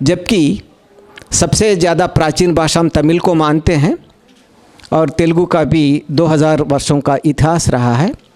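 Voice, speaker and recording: A man with a Telangana accent speaks at a fairly high pitch, his loudness very even and his intonation fairly even. Noticeable background noise is present. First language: Telugu (speaking Hindi). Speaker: conference speaker on languages. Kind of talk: conference talk. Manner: formal, with hesitations.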